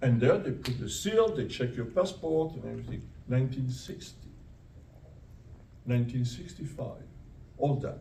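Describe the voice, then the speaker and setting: In a room with audible echo, a man with a medium pitch and a dark, mellow tone speaks at a moderate pace with vocal fry. His intonation is lively, and he leaves long, frequent pauses. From Italy, then France from age nine. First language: Italian. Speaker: retired professor. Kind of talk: audience Q&A narrative. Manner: halting, many repetitions.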